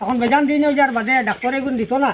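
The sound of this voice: A man's extremely high-pitched voice at a very fast pace. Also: ordinary pitch variation.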